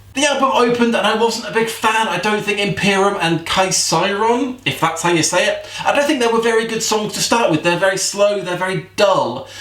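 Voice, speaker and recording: With noticeable background noise behind him, a man talks at a fairly quick pace and a high pitch, with ordinary pitch variation and hardly any pauses. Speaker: metal music vlogger. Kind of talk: casual music review vlog. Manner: fast; laid back.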